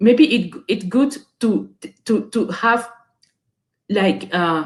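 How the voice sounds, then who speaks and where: In a French accent, a woman talks at a fairly high pitch with very wide pitch swings. Her voice has vocal fry. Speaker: webinar guest speaker. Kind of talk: motivational talk to youth. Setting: online webinar. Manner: halting, many repeated words and fillers.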